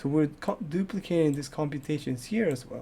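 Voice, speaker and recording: A man speaks in a plain, everyday voice at a fairly high pitch. His pace is moderate, with ordinary pitch variation. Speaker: programming tutor and gaming youtuber. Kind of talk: tutorial.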